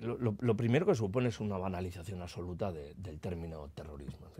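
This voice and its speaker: This man has a very deep, low voice with a dark, mellow tone and talks at a moderate pace. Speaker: politician being interviewed. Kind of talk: interview answer. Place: studio. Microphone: studio mic.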